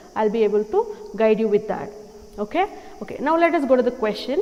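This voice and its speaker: Over music in the background, a woman talks at a moderate pace and fairly high pitch with lively intonation. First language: not English. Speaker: English teacher. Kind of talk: tutorial.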